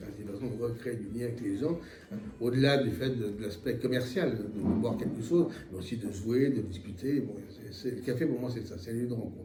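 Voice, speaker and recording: Against noticeable background noise and audible room echo, a man talks at a fairly quick pace in a medium pitch with ordinary pitch variation. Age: 60s. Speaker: retired accountant, association treasurer. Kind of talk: interview. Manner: halting, many hesitations.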